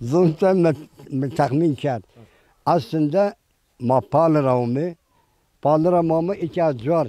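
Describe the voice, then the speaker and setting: Speaking at a very slow pace with long, frequent pauses, a man uses a fairly high pitch, a dark, mellow tone and ordinary pitch variation. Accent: Eastern Anatolian. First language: Zazaki (speaking Turkish). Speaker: villager. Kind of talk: casual interview.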